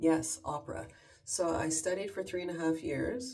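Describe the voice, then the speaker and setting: Vocal fry runs through a dark, mellow voice with a Canadian accent and lively intonation. The pace is fairly slow, and room echo is audible. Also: woman. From Canada. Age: 50s. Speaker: lifestyle vlogger. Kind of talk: casual chat. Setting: at home in her bathroom.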